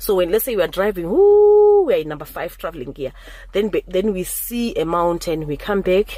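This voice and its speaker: Noticeable background noise accompanies a woman speaking. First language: Zulu or other Nguni language. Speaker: driving instructor vlogger. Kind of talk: tutorial. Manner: halting, self-correcting.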